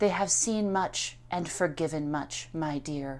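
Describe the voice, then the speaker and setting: Soft-spoken and at a middle pitch, a put-on character voice moves at a fairly slow pace on a very clean recording with a silent background. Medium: read story. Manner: soft, coaxing.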